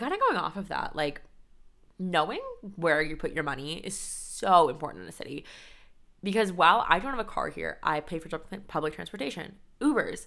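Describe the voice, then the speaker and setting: A woman's fairly low-pitched voice has a bright, sharp tone. She talks at a fairly quick pace with big swings in loudness. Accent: American. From California, San Diego. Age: 20s. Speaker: podcast host. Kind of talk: casual solo podcast talk. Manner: chatty, filler-heavy.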